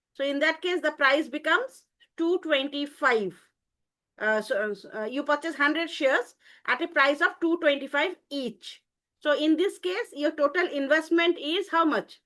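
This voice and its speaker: A woman's raised, projected voice, high-pitched with a bright, sharp tone and lively intonation, at a moderate pace over a quiet background. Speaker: college teacher. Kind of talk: online class lecture. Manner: hesitant, many fillers.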